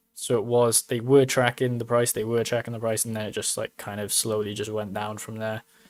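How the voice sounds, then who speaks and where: A man with a British accent talks at a fairly quick pace with hardly any pauses. His medium-pitched voice stays monotone, with flat intonation. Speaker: crypto mining YouTuber. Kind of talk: casual livestream commentary. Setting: live stream.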